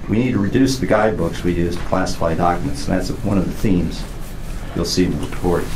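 There is noticeable background noise. Over it, a man speaks with ordinary pitch variation. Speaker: panel moderator. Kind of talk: opening remarks. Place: meeting room. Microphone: camera far.

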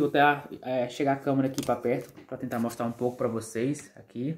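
The speaker is a man. He uses fairly even intonation. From Brazil. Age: 30s. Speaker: YouTuber, immigrant vlogger. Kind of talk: vlog monologue. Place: home room. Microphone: phone near.

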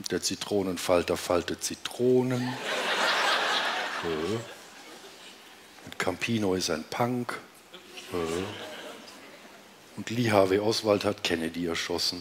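A man speaks very slowly at a very deep, low pitch. There is noticeable background noise. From Romania. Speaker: cabaret artist. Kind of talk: cabaret stage performance. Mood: dry, deadpan irony. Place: stage. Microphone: headset.

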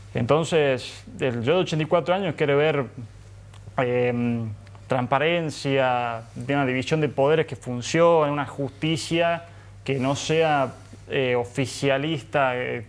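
A man speaks at a very slow pace in a medium pitch. His pitch varies by an ordinary amount. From Argentina, Tucumán; Argentina. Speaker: young political commentator. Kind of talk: panel discussion. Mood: earnest, critical of politics. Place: studio.

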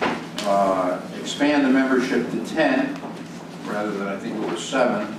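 This man talks fairly slowly. The room echo is audible, and background noise is noticeable. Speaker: board chair running a town meeting. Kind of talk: public meeting. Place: meeting room.

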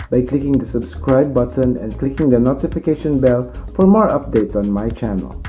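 A man talks at a moderate pace while faint music plays behind him. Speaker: motovlogger. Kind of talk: casual vlog chat. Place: home room. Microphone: phone near.

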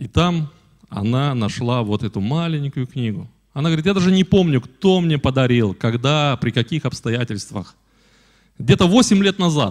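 In a quiet background, a man with a fairly high pitch speaks at a moderate pace, his pitch swinging very widely. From Belarus, Polesie region, village; Belarus. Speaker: guest. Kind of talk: church address with testimony. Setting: church. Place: church. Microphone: handheld.

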